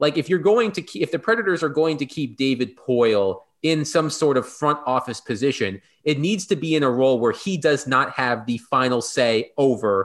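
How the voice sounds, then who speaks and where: This man has an unremarkable speaking voice, fairly high in pitch, with lively intonation. He talks at a moderate pace against a quiet background. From Virginia, US. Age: 30s. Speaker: sports journalist. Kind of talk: casual chat.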